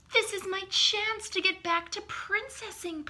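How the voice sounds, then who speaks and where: Using a put-on character voice, a woman speaks at an extremely high pitch. Her pace is moderate and her intonation fairly even. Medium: read story. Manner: blunt, outspoken.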